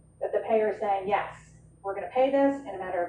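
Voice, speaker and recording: Audible room echo and noticeable background noise around a woman's medium pitch. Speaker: healthcare finance director presenting at a conference. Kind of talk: conference presentation. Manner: fast, conversational with fillers.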